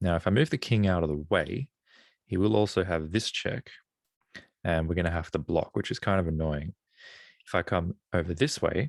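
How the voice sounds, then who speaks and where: A man with an Australian accent speaks at a very deep, low pitch with ordinary pitch variation. The sound is dry and close with no echo, on a very clean recording with a silent background. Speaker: chess streamer. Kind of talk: live commentary while solving chess puzzles. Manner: thinking aloud, casual.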